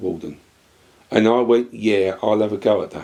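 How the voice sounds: A man speaks at a moderate pace with vocal fry. His tone is slightly mellow.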